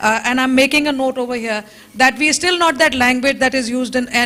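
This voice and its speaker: A woman speaks very fast in a raised, projected voice, her pitch high and her intonation fairly even, over noticeable background noise. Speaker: lawyer. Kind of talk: conference panel discussion.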